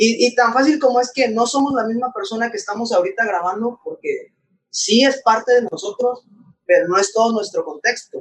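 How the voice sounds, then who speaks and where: A man's extremely high-pitched voice at a moderate pace with ordinary pitch variation. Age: 20s. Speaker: podcast co-host. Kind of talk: casual chat.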